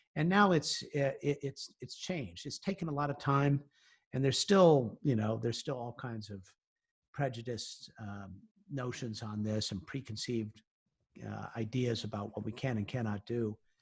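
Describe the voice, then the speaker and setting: Here a man talks at medium pitch with lively intonation. He is somewhat breathy and keeps a moderate pace. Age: 60s. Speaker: science and space journalist. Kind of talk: interview. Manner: halting, many fillers.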